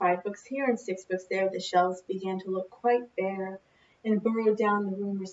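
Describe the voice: Simple read-aloud speech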